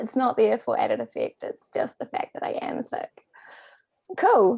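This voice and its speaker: Speaking fairly quickly, a woman talks in a New Zealand accent. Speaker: PhD candidate giving a talk. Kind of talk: academic lecture. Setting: remote presentation from home.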